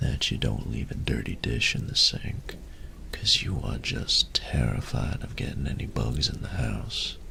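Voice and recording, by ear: A man whispers at a fairly slow pace in a put-on character voice with vocal fry.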